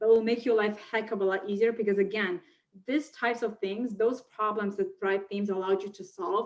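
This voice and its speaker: A woman with a non-native accent at a fairly quick pace. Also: quiet background. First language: not English. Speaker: online marketer and funnel builder; interview guest. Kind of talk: interview. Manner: animated. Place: home room. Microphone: webcam.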